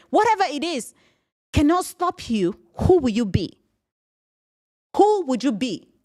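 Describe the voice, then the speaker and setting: A woman with a non-native accent speaks in an animated tone with very wide pitch swings, on a very clean recording with a silent background. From Cameroon. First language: not English. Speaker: podcast host and business coach. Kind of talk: motivational solo podcast.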